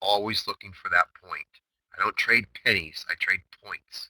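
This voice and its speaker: A man talks at a moderate pace. His loudness swings widely. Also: dry, close sound with no echo. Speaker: day trading chatroom host. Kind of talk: trading recap. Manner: calm; animated.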